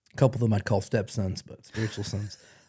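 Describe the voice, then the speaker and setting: A man speaks in a dark, mellow tone that is somewhat breathy, with fairly even intonation. The recording is very clean, with a silent background. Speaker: co-host of a church podcast. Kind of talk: casual chat about faith.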